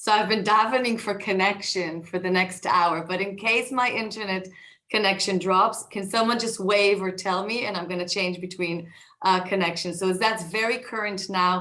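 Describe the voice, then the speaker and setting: With audible room echo, a woman speaks at a moderate pace in a medium pitch, her bright, sharp tone carrying fairly even intonation. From Israel (north Tel Aviv). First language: Hebrew. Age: 40s. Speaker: tech executive and author. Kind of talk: talk to an audience. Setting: video call. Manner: hesitant, many fillers.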